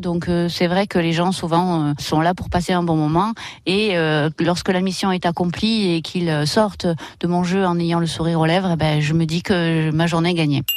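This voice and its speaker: With a quiet background, a woman speaks in a normal speaking voice at a moderate pace, her fairly low pitch moving in fairly even intonation. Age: 40s. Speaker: escape game manager. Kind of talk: radio interview testimony.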